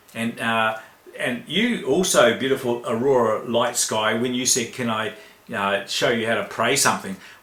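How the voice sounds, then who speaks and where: A man's medium-pitched voice at a moderate pace with ordinary pitch variation, audible room echo and noticeable background noise. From New Zealand. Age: 60s. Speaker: spiritual teacher. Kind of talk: spiritual talk in online chat room. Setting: online voice chat room.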